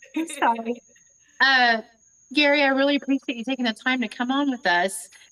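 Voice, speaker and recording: Raising and projecting her voice, a woman speaks at a fairly quick pace with a high pitch and ordinary pitch variation. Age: 50s. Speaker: podcast co-host. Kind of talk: casual interview chat.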